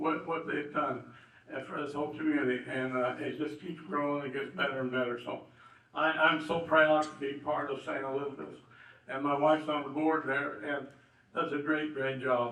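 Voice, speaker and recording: A man with an American accent, fairly high pitch and fairly even intonation at a moderate pace, amid noticeable background noise and audible room echo. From southern Indiana. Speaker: local businessman and honoree. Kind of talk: banquet speech. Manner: halting, many fillers.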